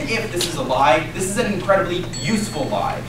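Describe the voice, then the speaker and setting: With music in the background and audible room echo, a man speaks in very wide pitch swings. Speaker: speaker. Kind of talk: competitive debate speech. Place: classroom.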